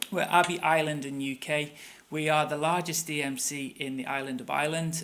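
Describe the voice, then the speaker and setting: A man with a Manchester accent, fairly quick and fairly high in pitch, in monotone, flat intonation amid audible room echo. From northern England, Manchester. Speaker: tour company operations director. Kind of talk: conference presentation.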